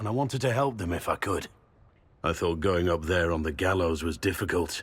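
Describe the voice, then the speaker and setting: Raspy and at a moderate pace, a man performs a put-on character voice on a very clean recording with a silent background. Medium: video game. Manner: blunt, rough.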